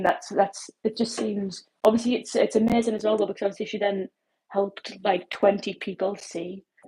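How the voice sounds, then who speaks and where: A woman's somewhat breathy, medium-pitched voice with a dark, mellow tone, at a fairly quick pace. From northern England. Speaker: livestreamer. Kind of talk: casual chat.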